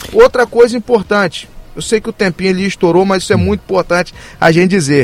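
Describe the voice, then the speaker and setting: Noticeable background noise sits behind a man talking at a very fast pace in a dry, close sound with no echo. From Brazil, Campos (Rio de Janeiro state). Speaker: mayoral candidate. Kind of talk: radio interview.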